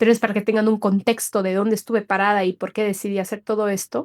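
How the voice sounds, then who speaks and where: A woman with a fairly high voice is heard in a dry, close sound with no echo. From Bolivia, Cochabamba. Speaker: podcast host and coach. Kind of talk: personal podcast monologue. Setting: solo recording, re-recorded session.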